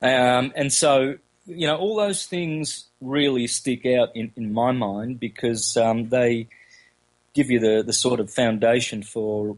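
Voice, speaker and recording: Speaking at a very slow pace, a man with an Australian accent uses a medium pitch and ordinary pitch variation. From Australia, country Victoria. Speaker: esoteric researcher and lecturer. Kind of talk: interview. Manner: halting, many fillers.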